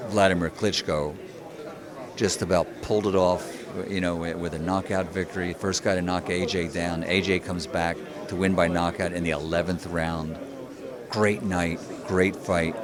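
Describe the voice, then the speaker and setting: A man speaks in a very deep, low voice with a flat, monotone delivery. His pace is moderate, broken by long, frequent pauses, while crowd noise murmurs in the background. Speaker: ring announcer. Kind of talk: interview answer.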